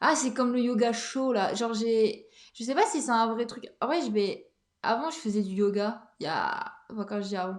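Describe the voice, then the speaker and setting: Her voice is fairly high in pitch, and this woman speaks at a moderate pace with ordinary pitch variation. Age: 30s. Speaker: podcast host. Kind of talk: casual monologue. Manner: hesitant, many fillers.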